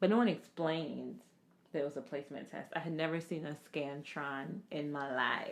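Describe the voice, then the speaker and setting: A woman talks at a moderate pace in a very deep, low voice. Her tone is relaxed, and her pitch varies in an ordinary way. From Jamaica, moved to Florida at age nine. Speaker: podcast co-host, healthcare professional. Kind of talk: casual chat. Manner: relaxed, conversational.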